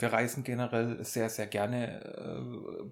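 A man talks with a monotone, flat intonation. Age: 30s. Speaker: podcast co-host, music teacher. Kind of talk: casual chat.

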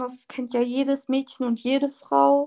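Quiet speech moves along at a very slow pace. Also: woman. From northern Germany, Oldenburg (Lower Saxony). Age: 20s. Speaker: social media creator. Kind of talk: casual interview. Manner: varies between very quiet and loud.

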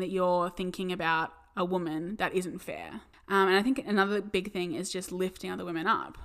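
A medium-pitched woman with an Australian accent, at a fairly quick pace with fairly even intonation, in a very clean recording with a silent background. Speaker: podcast co-host. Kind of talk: casual chat.

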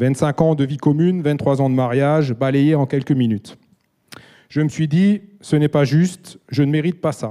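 A man speaks at a fairly slow pace with a dark, mellow tone. His pitch is fairly high, with ordinary variation. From Alsace, France. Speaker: church member giving testimony. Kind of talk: testimony. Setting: church stage.

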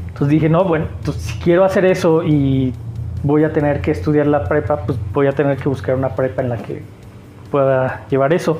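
Over music in the background and audible room echo, a man with a fairly high voice speaks at a fairly quick pace with lively intonation. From Mexico, Aguascalientes. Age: 40s. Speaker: artist and teacher. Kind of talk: casual interview.

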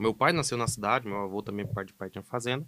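The recording is very clean, silent background. On it, a man talks. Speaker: animal scientist. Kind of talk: casual podcast conversation.

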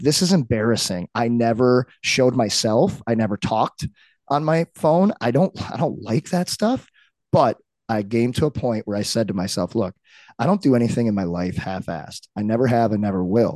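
A man with an American accent has a plain, everyday voice at medium pitch and moderate pace. His intonation is lively, and the sound is dry and close with no echo against a quiet background. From Saint Louis, US Midwest. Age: 30s. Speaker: retired pro hockey player and strength coach. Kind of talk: casual chat.

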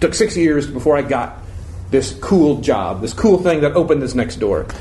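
A man with an American accent speaks with very wide pitch swings. Noticeable background noise and audible room echo are present. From Florida. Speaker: improv teacher and performer. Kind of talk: casual interview before live audience.

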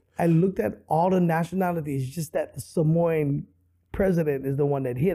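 A man speaks in a Hawaiian accent at a moderate pace. His tone is dark and mellow, with ordinary pitch variation. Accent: Hawaii local English. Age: 50s. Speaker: comedian. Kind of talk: casual chat.

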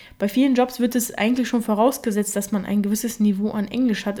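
A woman talks at a fairly quick pace in a fairly high pitch, somewhat breathy. Her tone is dark and mellow, and her intonation is monotone and flat. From Germany, Russian-speaking family. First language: Russian (speaking German). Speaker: podcast host. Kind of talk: solo podcast monologue.

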